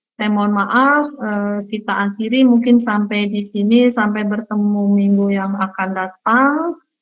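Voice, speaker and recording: A woman at a medium pitch speaks with fairly even intonation and hardly any pauses while music plays in the background. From Central Java (Purworejo), Indonesia. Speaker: university lecturer. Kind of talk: online lecture.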